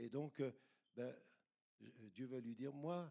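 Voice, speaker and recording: A man with a medium-pitched, dark and mellow voice talks at a moderate pace. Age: 70s. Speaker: retired pastor. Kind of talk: sermon. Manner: animated.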